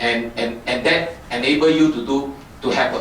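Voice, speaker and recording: Noticeable background noise and audible room echo accompany a man speaking at a medium pitch with ordinary pitch variation. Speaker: company technical presenter. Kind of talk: technical talk. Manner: fast; halting, many fillers.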